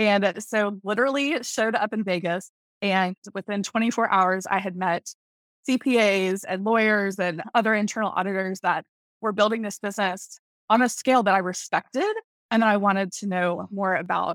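In a very clean, dry and close recording with a silent background and no echo, a woman with an American accent uses an ordinary speaking voice at medium pitch and a moderate pace, with fairly even intonation. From US South, Tallahassee, Florida. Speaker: network marketing leader. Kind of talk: interview.

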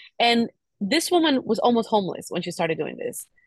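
A somewhat breathy woman's voice, dry and close with no echo. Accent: Spanish. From Cuba. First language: Spanish. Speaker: podcast host. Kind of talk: casual chat.

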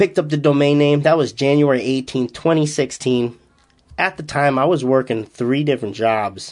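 With a slight Boston accent, a man talks at a moderate pace in a fairly high pitch, with ordinary pitch variation and very even loudness. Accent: slight Massachusetts, Boston-like. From Massachusetts, US. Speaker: powerlifting coach and podcast host. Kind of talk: solo podcast recap.

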